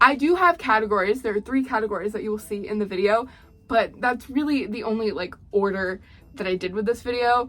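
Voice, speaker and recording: Over background music, a woman speaks at a fairly quick pace. Her voice is fairly high, with ordinary pitch variation. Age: 20s. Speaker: doll collector YouTuber. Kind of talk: casual vlog; voice-over narration. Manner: chatty, rambling.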